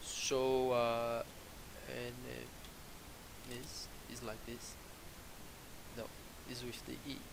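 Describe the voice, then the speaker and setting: A man with a non-native accent, very slow and full of long, frequent pauses, amid noticeable background noise and audible room echo. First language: not English. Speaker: programming tutorial creator. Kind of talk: coding tutorial. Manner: halting, many fillers.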